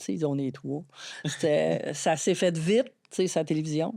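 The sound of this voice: In a very clean recording with a silent background, a woman with an Acadian accent talks at a moderate pace in a very deep, low, dark and mellow voice with vocal fry, lively intonation and big swings in loudness.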